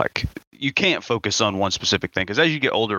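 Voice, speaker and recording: A man with an American accent talks at a fairly quick pace in an unremarkable speaking voice with ordinary pitch variation. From US South. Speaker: podcast host. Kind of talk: casual chat.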